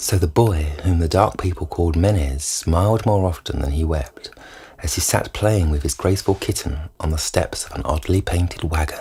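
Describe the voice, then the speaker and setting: This man has a very deep, low pitch and a somewhat breathy voice. His intonation is lively. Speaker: reader. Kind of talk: audiobook short story reading.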